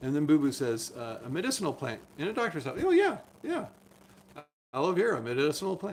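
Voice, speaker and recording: A man's fairly high voice with very wide pitch swings, set against noticeable background noise. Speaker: doctor. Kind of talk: live stream chat. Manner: fast.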